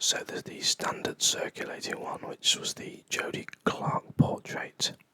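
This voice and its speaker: Someone whispers in a relaxed tone at a fairly slow pace. Background noise is noticeable. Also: man. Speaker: ASMR coin channel host. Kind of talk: ASMR coin trivia quiz commentary. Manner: whispered, soft-spoken, relaxed.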